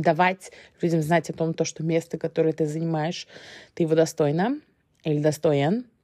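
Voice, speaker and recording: A woman with a fairly low pitch and a dark, mellow tone speaks at a moderate pace in a monotone, flat intonation. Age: 30s. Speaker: podcast host. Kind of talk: solo podcast monologue. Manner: hesitant, many fillers.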